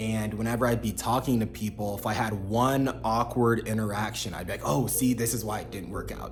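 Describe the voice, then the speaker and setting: Over music in the background, a man speaks with fairly even intonation, and audible room echo colors the sound. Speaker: self-development vlogger. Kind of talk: casual monologue.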